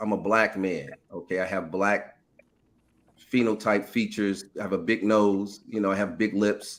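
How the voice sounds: Moving at a moderate pace, a man speaks with fairly low pitch and fairly even intonation.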